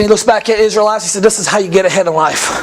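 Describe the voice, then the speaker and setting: High-pitched for a man, he talks at a very fast pace in an animated tone against noticeable background noise. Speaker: pastor. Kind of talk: sermon. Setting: church.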